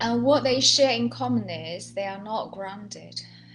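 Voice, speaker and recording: A woman with a Chinese accent, over noticeable background noise. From China. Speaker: healer and Alexander Technique teacher. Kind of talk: guided training session.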